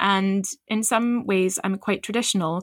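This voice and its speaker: A woman speaks at a medium pitch in a plain, everyday voice with ordinary pitch variation. The recording is very clean with a silent background and a dry, close sound with no echo. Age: 40s. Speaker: midwife and podcast host. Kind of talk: casual chat.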